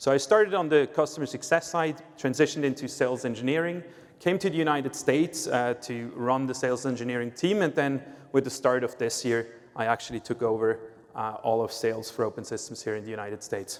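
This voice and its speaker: This man speaks with a Swiss accent at a very fast pace. His pitch sits in the medium range and varies in an ordinary way. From Switzerland. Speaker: sales executive at a tech company. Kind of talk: conference presentation.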